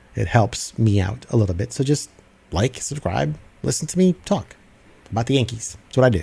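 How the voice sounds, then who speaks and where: This voice has a dark, mellow tone with vocal fry, moving at a fairly quick pace through very wide pitch swings. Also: man, medium pitch for a man. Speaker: sports commentator podcaster. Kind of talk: solo sports commentary livestream. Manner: halting, stuttering.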